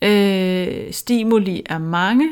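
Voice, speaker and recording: The recording is very clean, with a silent background. Pitch variation is ordinary. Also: woman. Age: 40s. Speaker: author and public speaker. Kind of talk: interview conversation. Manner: hesitant, with fillers.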